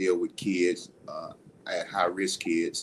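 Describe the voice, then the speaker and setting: Someone speaks with an American accent at a fairly slow pace. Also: man. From US South, South Carolina. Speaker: youth mentor and boxing coach. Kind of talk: interview. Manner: halting.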